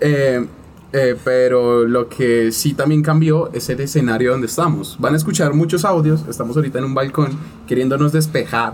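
A man with a plain, everyday voice speaks at a moderate pace. His pitch sits fairly high with fairly even intonation. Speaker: podcast host. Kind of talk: casual chat.

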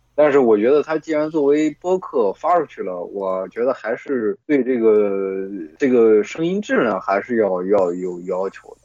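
With a dry, close sound and no echo, a man speaks at a fairly slow pace with hardly any pauses, using a dark, mellow tone at a medium pitch with very wide pitch swings. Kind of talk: casual chat among friends. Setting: voice call with bluetooth earphones. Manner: casual, profane.

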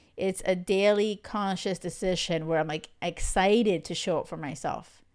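A woman with a plain, everyday voice speaks at a moderate pace and medium pitch, with ordinary pitch variation, on a very clean recording with a silent background. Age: 40s. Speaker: love coach, podcast host. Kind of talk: casual solo monologue. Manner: chatty, filler-heavy.

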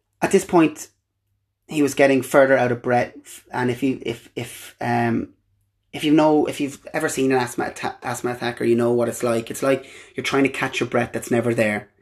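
In an Irish accent, a man talks at a moderate pace with medium pitch. His intonation is fairly even, and the recording is very clean with a silent background. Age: 20s. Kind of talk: personal monologue, testimony. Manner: halting.

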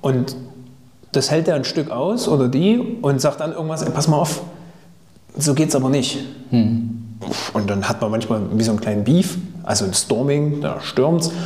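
Lively intonation with long, frequent pauses comes through audible room echo and noticeable background noise. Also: man, fairly high pitch for a man, moderate pace. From Thuringia, Germany. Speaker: podcast host. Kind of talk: casual interview.

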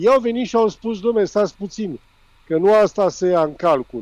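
The speaker is a man with a dark, mellow tone. His intonation is lively. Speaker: former football referee, pundit. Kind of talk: phone interview on sports radio.

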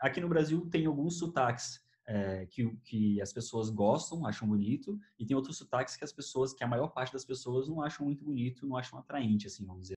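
A somewhat breathy man with lively intonation. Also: medium pitch for a man, fairly quick pace. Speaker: YouTuber and podcast host. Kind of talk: casual chat.

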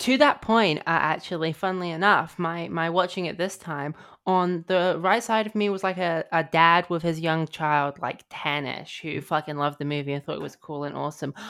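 A woman with a British accent, fairly low pitch, ordinary pitch variation, moderate pace and hardly any pauses, on a very clean recording with a silent background. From Britain. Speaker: film writer, podcast guest. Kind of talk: casual chat.

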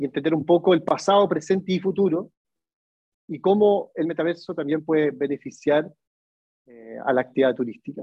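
At a moderate pace, a man with a fairly high pitch and lively intonation speaks in an unremarkable speaking voice. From Chile. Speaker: tourism innovation speaker. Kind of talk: webinar lecture.

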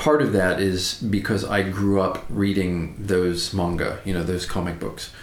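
A man with an American accent talks at a fairly slow pace and a fairly low pitch. Noticeable background noise runs underneath. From United States. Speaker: English teacher and podcast co-host. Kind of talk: casual chat.

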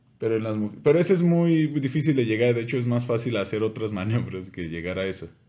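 A man speaks very fast in a dark, mellow tone. His intonation is lively. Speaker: podcast co-host. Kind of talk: casual chat. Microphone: new microphone making voice sound deeper.

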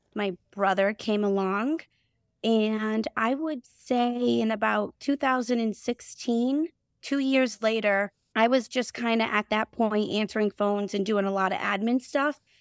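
A woman speaks at a fairly slow pace with a fairly high pitch, in a dry, close sound with no echo and a very clean recording over a silent background. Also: ordinary pitch variation. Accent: Boston. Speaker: HVAC company CEO and co-owner. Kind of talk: casual podcast interview.

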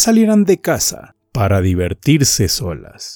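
A man speaks in a dramatic tone at a very slow pace. Music plays in the background, and the sound is dry and close with no echo. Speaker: podcast storyteller. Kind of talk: scripted ghost story narration, eerie and suspenseful. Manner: slow, hushed, dramatic and ominous.

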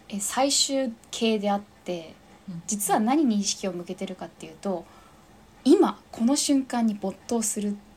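Speaking at a fairly slow pace, a woman uses a fairly high, somewhat breathy voice. Her loudness swings widely from moment to moment. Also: ordinary pitch variation. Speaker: fitness instructor. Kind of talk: casual interview chat.

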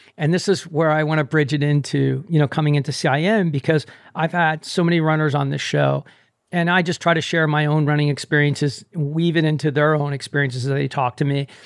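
A man talks at a fairly quick pace with a fairly high pitch and very even loudness. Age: 60s. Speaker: running podcast host. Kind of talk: casual interview chat. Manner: animated.

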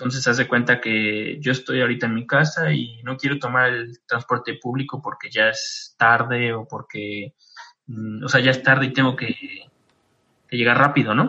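Speaking at a moderate pace, a man talks with a Mexican accent. His voice sits at a medium pitch with fairly even intonation. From Mexico. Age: 20s. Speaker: graduate student abroad. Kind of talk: interview. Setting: video call.

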